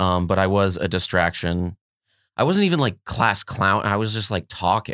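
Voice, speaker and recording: A man's fairly low voice with a bright, sharp tone and a Californian accent, at a moderate pace with ordinary pitch variation. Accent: Californian American. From US West Coast, Los Angeles (Mar Vista). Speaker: comedian. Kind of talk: casual chat.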